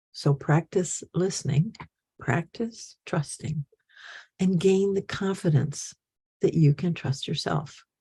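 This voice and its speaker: Very slow and somewhat breathy, the voice has a dark, mellow tone and ordinary pitch variation, recorded with a dry, close sound and no echo. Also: woman. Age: 80s+. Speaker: spiritual teacher. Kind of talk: talk to followers.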